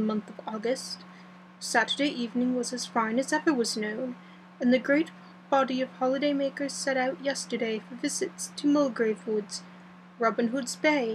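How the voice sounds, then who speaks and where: With lively intonation and a fairly high pitch, a woman speaks at a moderate pace amid noticeable background noise. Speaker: audiobook reader. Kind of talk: reading aloud. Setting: home recording with windows open. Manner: soft-spoken. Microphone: voice may be quiet.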